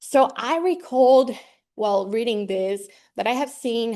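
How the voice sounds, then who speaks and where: A woman speaking at a fairly slow pace against a quiet background. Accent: Spanish. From Colombia, Medellin. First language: Spanish. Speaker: graduate student researcher in ornithology. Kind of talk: research seminar presentation. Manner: halting, many fillers.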